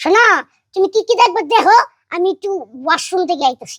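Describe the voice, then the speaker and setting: Delivered in a put-on character voice, the speech moves at a fairly quick pace with lively intonation, the sound dry and close with no echo. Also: woman, extremely high pitch for a woman. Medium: comedy sketch. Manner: protesting.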